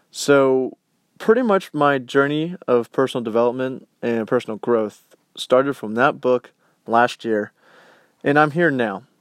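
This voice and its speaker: A man has a plain, everyday voice at a medium pitch, speaking at a fairly slow pace with ordinary pitch variation. The sound is dry and close with no echo, over a quiet background. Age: 20s. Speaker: podcast host and college student. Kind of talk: motivational monologue. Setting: home basement.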